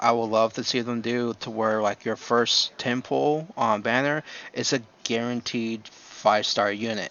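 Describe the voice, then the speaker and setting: At a fairly slow pace, a man talks with a medium pitch. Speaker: gaming YouTuber. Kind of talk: unscripted casual commentary. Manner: soft-spoken; hesitant, many fillers.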